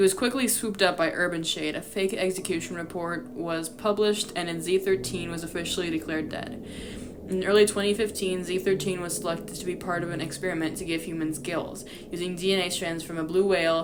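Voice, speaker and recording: A woman's fairly low voice at a fairly quick pace, fairly even intonation, with noticeable background noise. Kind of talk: reading a fan lore document aloud. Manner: stutters while reading.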